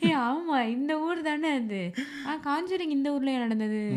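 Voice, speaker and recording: Over noticeable background noise, a woman speaks in a high pitch with lively intonation. Her loudness stays very even. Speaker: podcast host. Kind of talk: casual podcast conversation.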